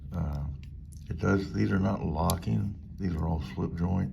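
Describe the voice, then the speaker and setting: A man talks in a very deep, low voice, with audible room echo. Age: 60s. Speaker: knife reviewer YouTuber. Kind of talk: product review. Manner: casual with frequent fillers.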